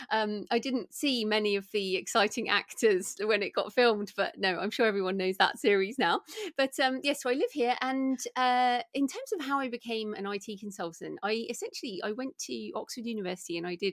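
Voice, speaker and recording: This woman talks at a fairly quick pace with hardly any pauses. Her pitch is fairly high with ordinary variation, and the sound is dry and close with no echo. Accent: British. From England. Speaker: author and podcaster. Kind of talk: interview.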